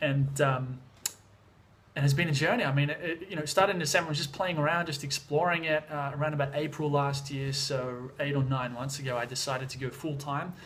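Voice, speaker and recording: A man with an Australian accent, fairly high in pitch, very fast, with fairly even intonation. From Australia, Sydney. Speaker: vlogger and music producer. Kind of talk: casual vlog. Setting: at home in Thailand. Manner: casual, many fillers.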